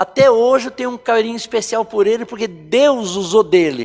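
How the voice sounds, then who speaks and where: A man at a high pitch, fairly quick in pace, with ordinary pitch variation. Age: 60s. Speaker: church member giving testimony. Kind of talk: testimony.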